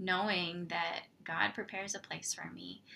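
Vocal fry runs through a woman's fairly low, bright, sharp voice. She keeps a moderate pace and fairly even intonation. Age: 30s. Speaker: podcast host and mom coach. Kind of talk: faith devotional talk.

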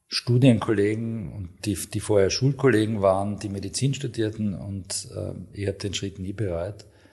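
A man speaks in a somewhat breathy voice at a fairly slow pace. The background is quiet. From Austria, Graz (Styria). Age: 50s. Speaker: hospital medical director, ENT surgeon. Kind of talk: interview. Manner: hesitant, many filler sounds.

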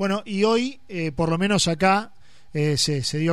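A man's high-pitched voice. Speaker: radio sports host. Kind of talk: radio interview. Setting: radio studio.

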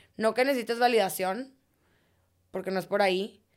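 Very clean audio of a woman against a silent background. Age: 30s. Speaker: fitness studio co-founder and cycling instructor. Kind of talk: interview.

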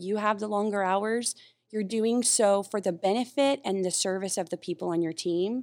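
A woman with an American accent and a plain, everyday voice, medium in pitch, fairly quick, with fairly even intonation on a very clean recording over a silent background. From North Carolina. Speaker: navy facilities deputy. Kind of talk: podcast interview.

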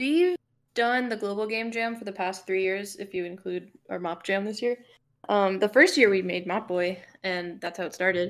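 A woman speaks with an American accent in a plain, everyday voice. Her pace is moderate and her pitch variation ordinary. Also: medium pitch for a woman. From South Florida, Fort Lauderdale area. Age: 20s. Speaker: indie game developer and composer. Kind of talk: casual chat.

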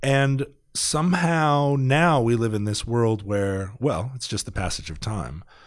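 Over a quiet background, a man with an ordinary speaking voice talks at a medium pitch and a fairly slow pace with lively intonation. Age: 40s. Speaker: podcaster and rock musician. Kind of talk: casual chat. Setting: studio.

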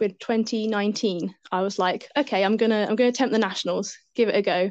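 A woman with a British accent speaks at medium pitch and a moderate pace over a quiet background. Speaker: zookeeper and elite mountain bike racer. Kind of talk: casual interview. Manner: hesitant, many fillers.

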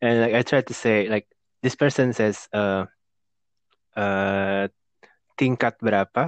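Speaking with an Indonesian accent, a man with a fairly low pitch keeps a fairly slow pace, fairly even intonation and very even loudness, with long, frequent pauses. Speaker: podcast host. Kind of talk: casual chat.

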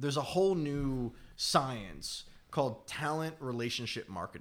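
At a fairly slow pace comes an ordinary speaking voice. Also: man. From Philadelphia area. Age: 30s. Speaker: entrepreneur. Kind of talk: casual interview.

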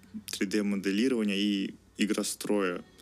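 This is a man speaking. His pitch is fairly low for a man. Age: 20s. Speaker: engineering student. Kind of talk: interview. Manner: halting.

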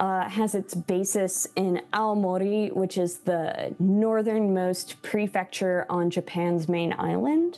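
Very slowly, a woman with an American accent speaks at medium pitch with ordinary pitch variation. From US Midwest, Chicago. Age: 30s. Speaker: musician. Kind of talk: casual interview.

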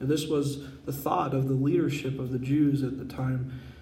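Natural voice used for reading

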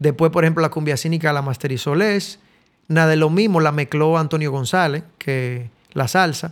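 The speaker has a Dominican accent and uses ordinary pitch variation. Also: man. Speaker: musician and studio owner. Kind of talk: casual interview.

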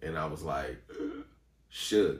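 Somewhat breathy delivery at a very slow pace. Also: man. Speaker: singer and actor. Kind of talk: casual chat.

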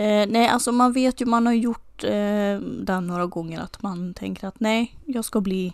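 The voice is an unremarkable speaking voice with fairly even intonation. It comes at a fairly slow pace on a very clean recording with a silent background. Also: woman. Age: 20s. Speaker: podcast co-host. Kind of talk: casual chat.

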